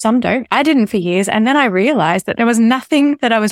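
A woman at a fairly quick pace with ordinary pitch variation, dry and close with no echo, on a very clean recording with a silent background. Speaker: speech therapist. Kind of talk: interview conversation.

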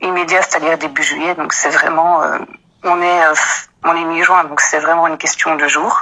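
A moderate pace carries the words. Intonation stays monotone and flat. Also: woman, fairly low pitch for a woman. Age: 30s. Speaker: office employee. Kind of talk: personal account.

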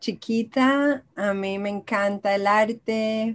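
A woman talks very slowly in a fairly high voice whose pitch varies in an ordinary way. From Israel and Colombia. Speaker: arts therapist and belly dance teacher. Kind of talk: interview conversation.

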